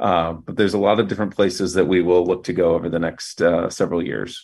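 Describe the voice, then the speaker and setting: Talking at a very fast pace, a man with an American accent has a very deep, low pitch and fairly even intonation. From US Midwest, Fort Wayne, Indiana. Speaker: news media executive. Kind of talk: interview.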